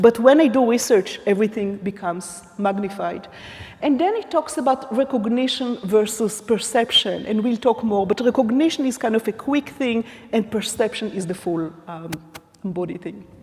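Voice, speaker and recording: The pitch moves up and down an ordinary amount, with noticeable noise in the background. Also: woman, fairly high pitch for a woman. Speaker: academic keynote speaker. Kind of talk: conference keynote lecture. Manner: deliberately slow, trying not to speak fast.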